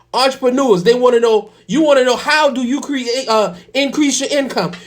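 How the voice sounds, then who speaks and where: The speaker has an animated tone and a moderate pace. Noticeable background noise is present. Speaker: real estate and finance show host. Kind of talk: motivational talk.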